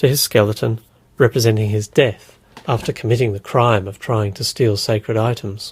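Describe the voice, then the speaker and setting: A man speaks with an Australian accent at a medium pitch. His voice is somewhat breathy. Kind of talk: encyclopedia article reading.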